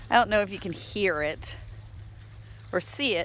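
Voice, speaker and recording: In a relaxed tone with vocal fry, a woman talks with lively intonation. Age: 60s. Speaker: dog rescue ranch owner. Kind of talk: casual walking video tour. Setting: outdoors. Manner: relaxed, chatty.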